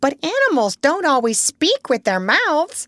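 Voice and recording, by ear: A woman's put-on character voice, high-pitched, with very wide pitch swings. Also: moderate pace.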